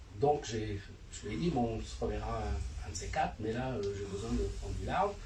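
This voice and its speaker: A man keeps a moderate pace while noticeable background noise and audible room echo fill the space. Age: 60s. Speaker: martial arts teacher. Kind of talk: panel discussion. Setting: bookshop event with audience. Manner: halting.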